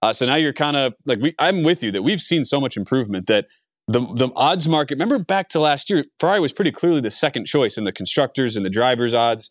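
Very fast, animated speech from a man with fairly high pitch and lively intonation, dry and close with no echo over a quiet background. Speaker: podcast host. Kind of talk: casual chat. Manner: animated, casual with filler words.

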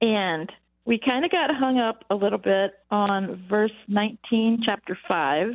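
A woman speaks with a plain, everyday voice at a fairly high pitch. Her intonation is lively and her loudness very even. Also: fairly slow pace. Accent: American. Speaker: caller. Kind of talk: phone-in question. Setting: phone call.

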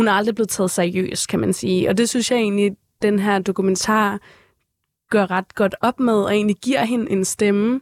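A woman speaks at a moderate pace and medium pitch with very even loudness. Hers is a normal speaking voice, heard in a very clean recording with a silent background and a dry, close sound with no echo. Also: ordinary pitch variation. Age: 20s. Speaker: photographer and K-pop expert. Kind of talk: casual chat. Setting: studio.

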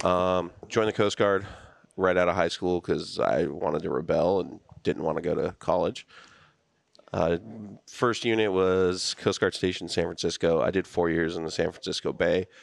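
This man has a very deep, low voice and an American accent. He talks at a moderate pace with fairly even intonation, and the background is quiet. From Southern California, Kern County. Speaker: retired Coast Guard veteran. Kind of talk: casual chat. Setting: studio.

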